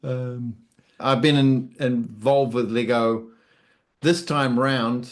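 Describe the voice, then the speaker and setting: A man with a New Zealand accent speaks at a very slow pace. The background is quiet. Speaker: YouTuber and hobbyist builder. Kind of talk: interview answers. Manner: hesitant, many fillers.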